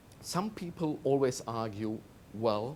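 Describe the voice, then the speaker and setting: With a German accent, a man speaks using very wide pitch swings. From Germany. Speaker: management consultant. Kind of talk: TV interview.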